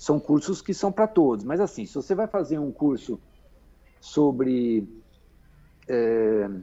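A man with a fairly high pitch, very wide pitch swings, a very slow pace and long, frequent pauses. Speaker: magazine editor. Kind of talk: interview. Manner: halting, many fillers and repetitions.

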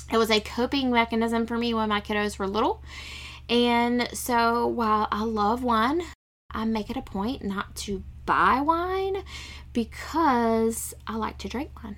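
A woman with an ordinary speaking voice talks at a fairly slow pace and a fairly high pitch. Her pitch varies in an ordinary way, and the recording is very clean with a silent background. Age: 40s. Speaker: podcast host, former nurse. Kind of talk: casual solo monologue.

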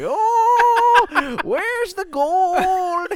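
Amid loud background noise, a put-on character voice comes through at an extremely high pitch. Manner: comic.

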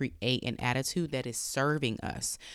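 At a fairly slow pace, a speaker with an American accent sounds animated and enthusiastic on a very clean recording with a silent background. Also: woman. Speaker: mindset coach and podcast host. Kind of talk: solo podcast monologue, motivational talk. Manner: animated, enthusiastic.

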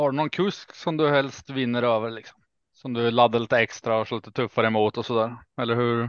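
Speaking at a fairly quick pace, a man has a plain, everyday voice of medium pitch and fairly even intonation. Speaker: harness racing podcast panelist. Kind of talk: casual chat.

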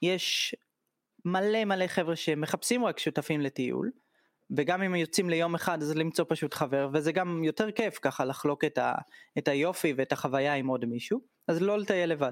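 A man speaks in an ordinary speaking voice at a moderate pace with ordinary pitch variation. The recording is very clean with a silent background and a dry, close sound with no echo. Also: fairly high pitch for a man, very even loudness. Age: 30s. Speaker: tour guide. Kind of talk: casual interview.

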